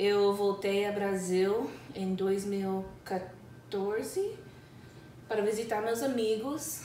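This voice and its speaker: The speaker, with a non-native accent, talks at a very slow pace with ordinary pitch variation and long, frequent pauses, amid noticeable background noise and audible room echo. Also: woman, medium pitch for a woman. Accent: foreign accent in Portuguese. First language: English (speaking Portuguese). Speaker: English teacher. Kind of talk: casual chat. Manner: halting.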